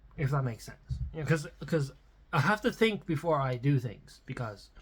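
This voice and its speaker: A man talks at a moderate pace with lively intonation and an animated tone, his fairly high voice somewhat breathy. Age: 30s. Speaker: musician vlogger. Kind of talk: casual monologue. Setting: at the piano, on camera. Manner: rambling, animated.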